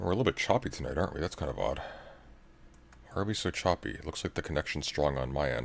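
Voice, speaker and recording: Very fast speech with lively intonation, vocal fry, and long, frequent pauses. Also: man, very deep, low pitch for a man. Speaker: livestreamer. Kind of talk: casual chat.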